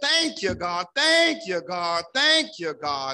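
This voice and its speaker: Over a quiet background, a man uses a raised, projected voice with a bright, sharp tone at a fairly slow pace. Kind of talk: spoken prayer. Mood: fervent, grateful. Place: church. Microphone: podium.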